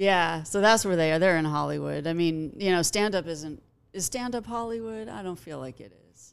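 Over a silent background in a very clean recording, a woman with a Californian accent and a fairly low pitch speaks at a moderate pace, her intonation lively and her loudness swinging widely. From Los Angeles, Pacific Palisades. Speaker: comedian. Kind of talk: casual chat.

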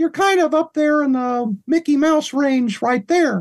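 Someone uses a put-on character voice, high in pitch and at a fairly slow pace. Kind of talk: pitched up with the vocal cords.

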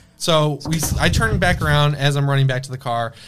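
Fairly high in pitch with fairly even intonation, a man speaks over noticeable background noise. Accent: American. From Michigan, Detroit area. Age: 20s. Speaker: horror film YouTuber. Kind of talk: casual chat; storytelling.

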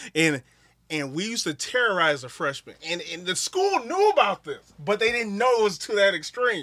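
A man's high, bright, sharp voice, raised and projected, with lively intonation at a moderate pace and an American accent. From Wisconsin. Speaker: professional wrestler. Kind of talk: casual chat. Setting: studio.

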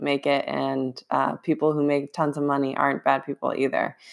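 A woman speaks at a moderate pace with a very deep, low pitch. The recording is very clean, with a silent background. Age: 20s. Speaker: fitness coach and podcast host. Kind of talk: solo podcast monologue.

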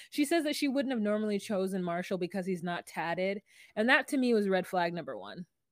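At medium pitch and a fairly quick pace, a woman talks in a normal speaking voice. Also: lively intonation, very clean recording, silent background. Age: 40s. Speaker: podcast co-host. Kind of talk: casual chat.

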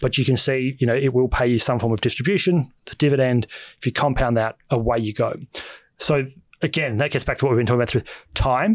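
A man with an Australian accent talks very fast at a medium pitch with ordinary pitch variation. The recording is very clean, with a silent background. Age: 30s. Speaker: author and finance commentator. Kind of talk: casual chat.

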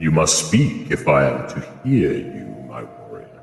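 A man growls in a put-on character voice, very deep and low, at a moderate pace. A clear echo surrounds it. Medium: actual play. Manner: smooth, patronizing.

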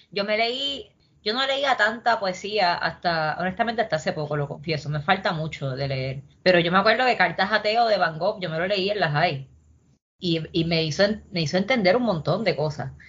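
With a plain, everyday voice, a woman talks at a moderate pace, her medium pitch carried by lively intonation. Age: 30s. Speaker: poet and urban planner. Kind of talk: casual interview chat.

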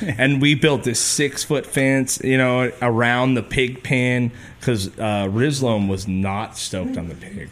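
Here a man talks with a plain, everyday voice at a medium pitch, with ordinary pitch variation. His pace is fairly slow, yet he leaves hardly any pauses. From California Mojave desert, raised in Ventura. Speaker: musician and podcast host. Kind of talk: casual chat. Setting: studio.

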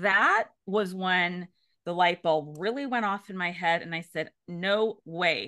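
Speaking at a very slow pace over a quiet background, a woman has a bright, sharp tone, medium pitch and ordinary pitch variation. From California, Bay Area. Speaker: counselor educator. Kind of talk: casual chat.

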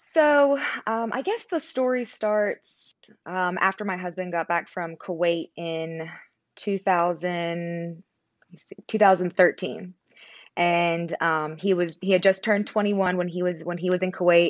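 A woman with an American accent has an unremarkable speaking voice, a fairly low pitch and ordinary pitch variation. She talks at a fairly slow pace with big swings in loudness, in a dry, close sound with no echo. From Pennsylvania, near West Virginia border. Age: 20s. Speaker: content creator, military spouse. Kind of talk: interview conversation.

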